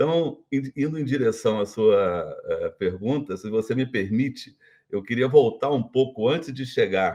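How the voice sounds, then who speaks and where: With an unremarkable speaking voice, a man talks at a fairly slow pace, his medium pitch showing ordinary variation. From Brazil, Minas Gerais. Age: 60s. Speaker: retired business executive. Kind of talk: interview.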